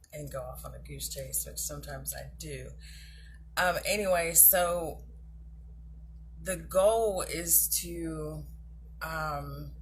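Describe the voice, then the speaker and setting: A woman speaks at a very slow pace with long, frequent pauses and big swings in loudness, and audible room echo surrounds her voice. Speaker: self-love coach / vlogger. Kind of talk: casual talk-to-camera advice. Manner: hesitant, many fillers.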